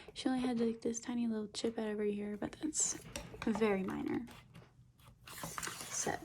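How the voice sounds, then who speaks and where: The speaker stops often for long pauses while noticeable background noise continues underneath. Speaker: doll collector YouTuber. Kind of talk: unboxing review. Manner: slow.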